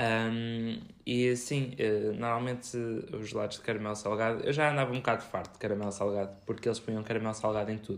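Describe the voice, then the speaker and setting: A man at a fairly quick pace, medium pitch and monotone, flat intonation, with audible room echo. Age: 20s. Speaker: podcast co-host, food scientist. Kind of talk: casual chat.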